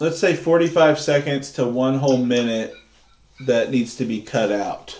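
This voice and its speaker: With noticeable background noise around him, a man talks at a medium pitch that shows ordinary variation. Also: moderate pace. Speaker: movie review podcast host. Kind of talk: casual chat. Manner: halting.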